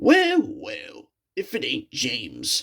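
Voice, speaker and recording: Using a raspy, put-on character voice, a man speaks at an extremely high pitch. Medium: read story. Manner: menacing.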